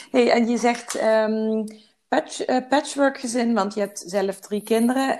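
The speaker is a woman with ordinary pitch variation. She talks at a very slow pace. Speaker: podcast host and balance coach. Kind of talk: interview.

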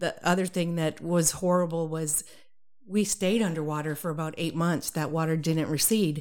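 A woman in an American accent speaks in an unremarkable speaking voice, her pitch fairly low and her intonation fairly even, at a moderate pace. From Massachusetts. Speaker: rancher and water board candidate. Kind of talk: interview.

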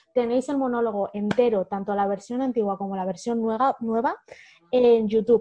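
A woman with a plain, everyday voice, fairly high in pitch, at a moderate pace with fairly even intonation. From Spain, Madrid region (Humanes, south of Madrid). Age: 30s. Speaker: author and educator. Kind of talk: interview conversation.

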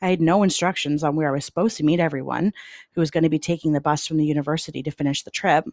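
Speaking very fast, a woman with a Canadian accent uses a very deep, low pitch and fairly even intonation. The sound is dry and close, with no echo. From Canada (London, Ontario). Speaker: true crime podcast host. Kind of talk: scripted narration.

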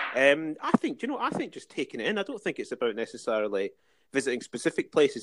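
In an Edinburgh accent, a man talks at a fairly quick pace on a very clean recording with a silent background. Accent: Edinburgh Scottish. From Scotland, Dalkeith near Edinburgh. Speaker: museum and heritage worker. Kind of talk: casual interview. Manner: hesitant, many fillers.

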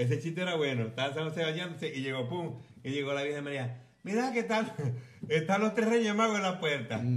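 Over noticeable background noise and audible room echo, a man talks at a fairly quick pace, his fairly high pitch swinging very widely. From Venezuela, Falcón. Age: 40s. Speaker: podcast host, former radio presenter. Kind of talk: casual chat over drinks. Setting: home. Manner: animated.

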